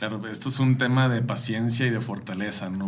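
At a fairly quick pace, a man speaks with ordinary pitch variation amid noticeable background noise and audible room echo. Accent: Mexican. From Mexico. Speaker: podcast host. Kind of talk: interview.

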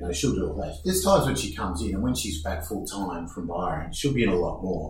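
Somewhat breathy and very deep and low in pitch, a man speaks with lively intonation at a moderate pace amid audible room echo. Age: 50s. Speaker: surfboard shaper. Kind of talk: casual chat. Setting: studio.

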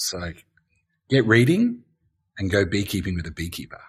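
A man speaks with an Australian accent at a moderate pace. His voice is somewhat breathy. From Australia, Gold Coast. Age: 50s. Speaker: beekeeper. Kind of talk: interview.

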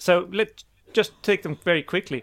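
With a dry, close sound and no echo, a man talks at a moderate pace in a high pitch, with ordinary pitch variation. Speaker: podcast co-host. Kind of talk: casual chat.

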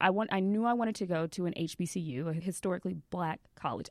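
A plain, everyday voice from a woman with an American accent, fairly low in pitch, with ordinary pitch variation at a fairly quick pace, over a quiet background. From Texas (Seguin, near San Antonio). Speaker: influencer. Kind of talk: interview conversation.

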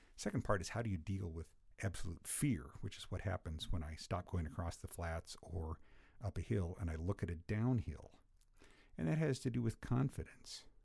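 At a moderate pace, a man with a very deep, low voice sounds somewhat breathy and dark, mellow in tone, with lively intonation. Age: 60s. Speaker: cycling coach. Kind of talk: casual chat. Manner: hesitant, with fillers.

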